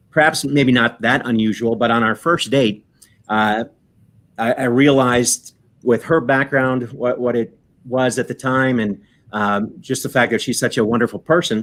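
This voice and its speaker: This man has an American accent and a medium pitch. He speaks at a moderate pace with fairly even intonation. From Michigan Upper Peninsula. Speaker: lawyer. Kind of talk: casual interview chat. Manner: hesitant, many fillers.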